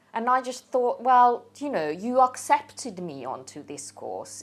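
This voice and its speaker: Her pitch swinging very widely, a woman with a non-native accent talks at a fairly slow pace. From Hungary. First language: Hungarian. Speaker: interviewee telling life story. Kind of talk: personal testimony. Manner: halting, repeats words.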